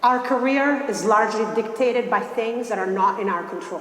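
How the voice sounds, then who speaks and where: A fairly high-pitched woman's voice carries audible room echo amid noticeable background noise. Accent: Italian. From Italy, Milan. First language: Italian. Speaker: investment banker. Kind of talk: motivational talk.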